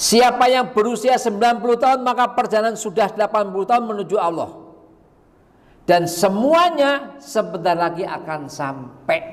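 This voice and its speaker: A man's high voice carries lively intonation at a moderate pace. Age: 60s. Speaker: preacher. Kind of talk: sermon.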